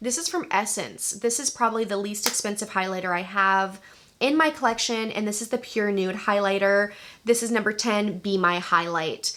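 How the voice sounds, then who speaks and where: The speaker has an unremarkable speaking voice, ordinary pitch variation and a moderate pace. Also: woman, medium pitch for a woman. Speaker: beauty YouTuber. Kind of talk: casual product review. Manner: casual, chatty.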